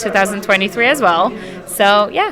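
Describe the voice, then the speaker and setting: A woman with a slight Polish accent speaks at a moderate pace and medium pitch with fairly even intonation, over noticeable background noise. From Poland. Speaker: actress. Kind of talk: red carpet interview.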